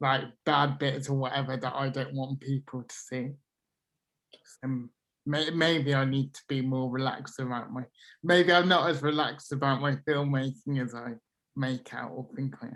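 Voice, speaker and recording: Mumbling at a moderate pace. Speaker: film student. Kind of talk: casual chat. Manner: halting.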